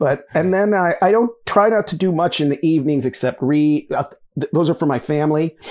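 An ordinary speaking voice from a man, fairly high in pitch, at a fairly quick pace with ordinary pitch variation. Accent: American. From US Midwest, Michigan. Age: 50s. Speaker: writer and university lecturer. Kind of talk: interview conversation.

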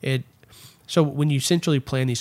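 A man with a Texan accent at a medium pitch, on a very clean recording with a silent background. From Texas, Erath County. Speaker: political consultant. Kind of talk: casual chat. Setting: home studio.

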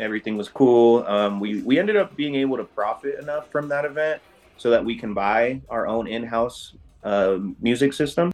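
With a normal speaking voice, a man talks at a fairly slow pace with ordinary pitch variation. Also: medium pitch for a man. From various US states, mainly San Diego. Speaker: rave crew co-founder. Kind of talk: interview.

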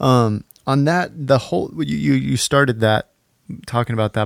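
A man talks at a moderate pace in an unremarkable speaking voice, with lively intonation. The sound is dry and close, with no echo. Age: 30s. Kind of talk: casual interview.

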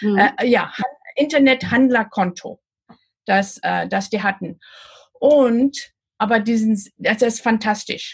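Somewhat breathy and fairly high, a woman's voice moves at a very slow pace. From Namibia. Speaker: e-commerce coach. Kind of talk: interview. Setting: video call from a houseboat. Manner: slow, halting with many fillers.

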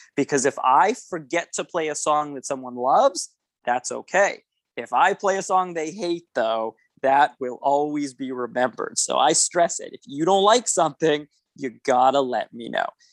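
A man with an ordinary speaking voice and a Canadian accent, fairly high in pitch, with lively intonation, big swings in loudness and a moderate pace, in a dry, close sound with no echo. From Canada, Winnipeg, Manitoba. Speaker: event DJ and entertainer. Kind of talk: casual interview chat.

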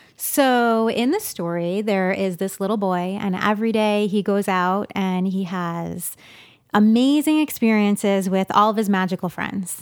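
Speaking at a fairly slow pace, a woman talks with a slight East Coast accent. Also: medium pitch for a woman, ordinary pitch variation, very clean recording, silent background. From New York. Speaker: children's author and illustrator. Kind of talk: interview conversation.

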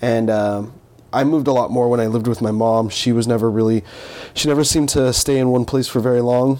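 Noticeable background noise sits behind a man with a Californian accent who talks at a very fast pace. His pitch is medium and his intonation fairly even. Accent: Californian American English. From Southern California (Fontana). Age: 20s. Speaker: musician. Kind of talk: interview conversation. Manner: halting, with many fillers.

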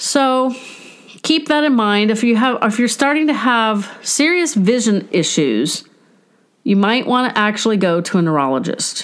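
A woman with a fairly high pitch makes very wide pitch swings while keeping her loudness very even. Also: moderate pace. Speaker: podcast host and family caregiver. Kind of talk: solo podcast monologue. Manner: self-described as tripping over words.

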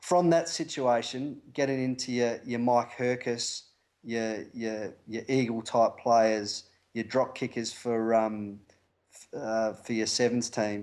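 Speech comes at a very slow pace with fairly even intonation. It is a very clean recording with a silent background. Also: man, medium pitch for a man. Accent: Australian. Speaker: rugby coach. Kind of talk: interview.

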